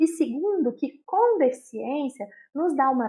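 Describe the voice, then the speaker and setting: The speaker has a Minas Gerais accent and lively intonation. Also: woman. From Minas Gerais, Brazil. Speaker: inclusive education speaker. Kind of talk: interview.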